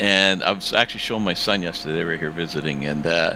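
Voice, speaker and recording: Noticeable background noise behind a male voice of very deep, low pitch. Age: 70s. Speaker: sim racing driver. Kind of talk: casual chat. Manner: halting.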